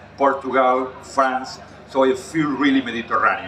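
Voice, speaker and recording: With a Catalan accent and medium pitch, a man speaks at a fairly quick pace over noticeable background noise. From Catalonia, Spain. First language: Spanish/Catalan. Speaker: chef. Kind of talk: cooking demonstration.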